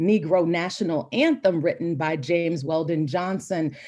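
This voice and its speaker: Her pitch fairly low, a woman talks in an American accent. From Florida, US South. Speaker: professor. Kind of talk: interview conversation. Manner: passionate.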